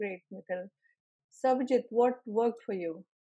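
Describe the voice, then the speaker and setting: A woman with an Indian accent, fairly high in pitch with a dark, mellow tone, ordinary pitch variation and a fairly quick pace. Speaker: exam trainer and session host. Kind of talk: group Q&A session. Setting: video call.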